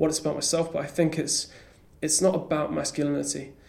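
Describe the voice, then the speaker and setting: A man with an English accent, fairly high-pitched, at a very fast pace. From rural England. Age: 20s. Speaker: comedian. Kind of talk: casual chat. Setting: comedy club attic. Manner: halting.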